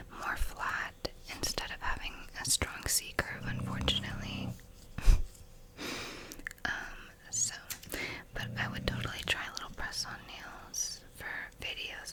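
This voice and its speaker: The voice is a whisper. Background noise can be clearly heard. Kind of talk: ASMR soft-spoken talk and quote reading. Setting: home recording, close mic. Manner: soft-spoken, whispered.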